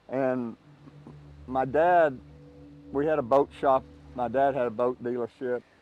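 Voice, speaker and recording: With music in the background, a man in a Southern US accent speaks at a fairly slow pace and medium pitch, his intonation fairly even, with long, frequent pauses. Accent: Southern US (Oklahoma). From Oklahoma, USA. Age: 70s. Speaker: lifelong fisherman. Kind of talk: interview answer.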